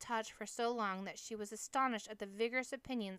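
The passage is read aloud in a natural voice.

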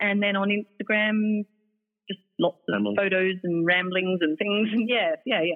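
A woman with an Australian accent speaks at a moderate pace, her pitch varying in an ordinary way. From South Australia. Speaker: mother, family travel blogger. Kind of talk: casual interview.

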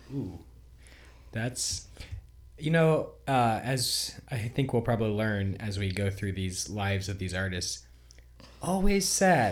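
Fairly low in pitch and somewhat breathy, a man talks very slowly with lively intonation and long, frequent pauses. Room echo is audible. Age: 30s. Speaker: podcast co-host. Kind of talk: casual chat.

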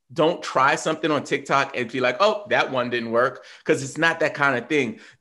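A man with an American accent speaks at a fairly high pitch against a quiet background. His tone is animated and his intonation lively. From New York. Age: 40s. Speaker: social media coach and hip-hop producer. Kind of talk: casual interview.

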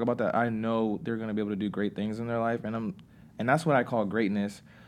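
A man's normal speaking voice, medium in pitch, with fairly even intonation and a fairly quick pace. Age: 20s. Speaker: college football player and author. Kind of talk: casual interview.

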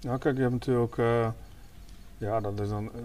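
In a flat, monotone intonation, a man delivers his words at a fairly quick pace. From Leeuwarden, Friesland. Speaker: podcast host. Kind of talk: casual chat. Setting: on location in a small house.

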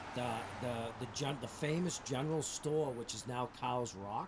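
Fairly slow speech with an American accent and fairly even intonation comes through noticeable background noise. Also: man. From Massachusetts, Methuen. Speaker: town recreation director. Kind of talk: casual chat. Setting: outdoors.

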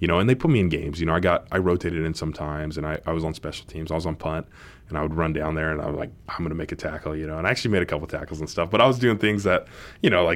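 Very deep and low, a man's voice rushes at a very fast pace with fairly even intonation. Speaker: professional football player. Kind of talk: casual interview.

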